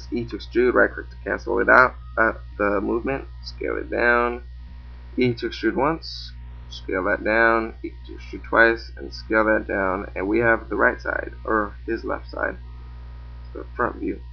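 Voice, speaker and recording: Music plays in the background as a man talks at a moderate pace, his loudness swinging widely. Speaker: 3D animation tutorial maker. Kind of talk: tutorial. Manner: casual, hesitant with fillers.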